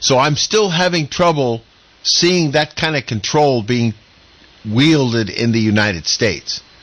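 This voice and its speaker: This is a plain, everyday voice with an American accent and lively intonation. The pace is fairly slow and the loudness very even. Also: man, medium pitch for a man. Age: 60s. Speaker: radio talk show host. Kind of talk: radio panel discussion.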